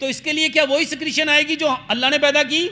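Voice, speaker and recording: An animated, raised and projected voice carries over noticeable background noise. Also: man. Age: 50s. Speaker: herbal health doctor. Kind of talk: health talk to audience. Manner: animated, rhetorical questions.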